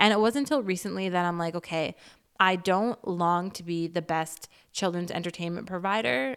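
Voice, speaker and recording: A woman with an ordinary speaking voice talks at a moderate pace, her pitch fairly low and ordinary in its variation. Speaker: podcast host and creator. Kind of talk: casual solo monologue.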